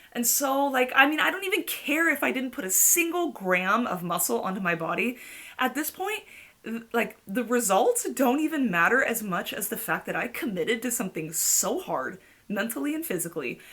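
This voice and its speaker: Over noticeable background noise, a woman with a fairly high pitch talks in an animated tone at a moderate pace, her pitch swinging very widely. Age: 40s. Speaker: fitness vlogger. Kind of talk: casual vlog.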